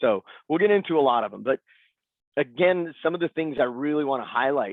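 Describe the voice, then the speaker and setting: This is a man talking. He goes at a fairly quick pace. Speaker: cloud solutions architect giving conference talk. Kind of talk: conference presentation. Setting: video call. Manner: fast; animated.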